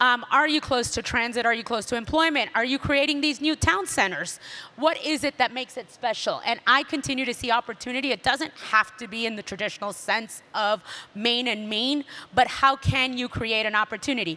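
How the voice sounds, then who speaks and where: With a Miami accent, a woman talks at a fairly quick pace in a high pitch. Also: ordinary pitch variation. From Miami, Florida. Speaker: real estate developer. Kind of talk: panel discussion.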